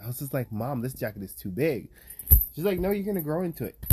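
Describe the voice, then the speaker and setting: The voice is somewhat breathy and dark and mellow in tone, with lively intonation. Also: man. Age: 20s. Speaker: podcast host. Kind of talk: casual chat.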